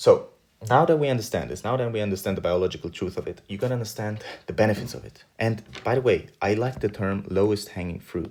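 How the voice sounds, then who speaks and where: A man with a non-native accent sounds animated and somewhat breathy, his pitch fairly low. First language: not English. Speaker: self-improvement youtuber. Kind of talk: casual monologue to camera.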